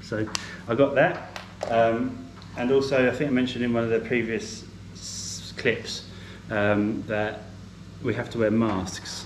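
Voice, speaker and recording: A man talks at a fairly low pitch with ordinary pitch variation. Noticeable background noise and audible room echo are present. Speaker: travel vlogger. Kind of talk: casual vlog talk to camera. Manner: mumbles a bit; hesitant, many fillers.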